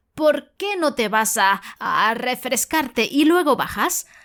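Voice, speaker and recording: Putting on a gruff character voice, a woman talks at a fairly slow pace with a high pitch. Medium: read story. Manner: gruff, irritable.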